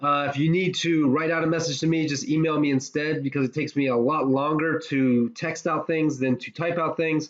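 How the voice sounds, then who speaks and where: Over noticeable background noise, a man with an American accent speaks at a fairly quick pace. His voice is fairly high, with ordinary pitch variation. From West Virginia. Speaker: professor. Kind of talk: lecture. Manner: many filler uhs.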